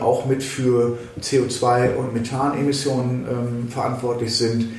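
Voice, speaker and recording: Audible room echo and noticeable background noise accompany a man speaking. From West Germany. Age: 50s. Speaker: state politician. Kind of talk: interview. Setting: office.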